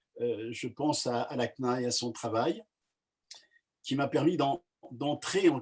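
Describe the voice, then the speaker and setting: Speech comes at a very slow pace, with lively intonation. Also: man, long, frequent pauses. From France (Savoie), Kabyle family. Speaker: pastor. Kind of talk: casual talk, online meeting. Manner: halting, many hesitations.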